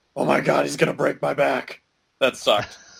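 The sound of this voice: A man's gruff, gravelly put-on character voice, fairly low in pitch, at a fairly quick pace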